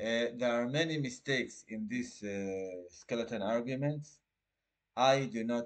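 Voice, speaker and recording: Speaking with an Israeli accent, a man talks at a medium pitch. His pace is fairly slow, with ordinary pitch variation. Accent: Israeli Hebrew. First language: Hebrew. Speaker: litigant representing himself. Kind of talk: casual explanatory talk. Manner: halting.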